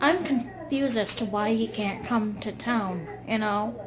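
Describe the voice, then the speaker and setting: Against audible room echo, a woman speaks very slowly in a fairly high, somewhat breathy voice with ordinary pitch variation. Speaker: video blogger. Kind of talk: casual monologue.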